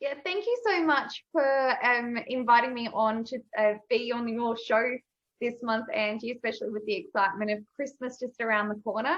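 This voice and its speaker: Speaking at a moderate pace with an Australian accent, the voice shows ordinary pitch variation. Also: woman, high pitch for a woman. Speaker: video and confidence coach. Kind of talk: casual interview chat. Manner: energetic.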